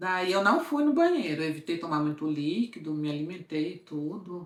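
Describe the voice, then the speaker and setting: A woman speaks in an animated tone at a moderate pace. Audible room echo surrounds her voice. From interior of Brazil. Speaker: lifestyle vlogger. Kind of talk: casual storytelling vlog.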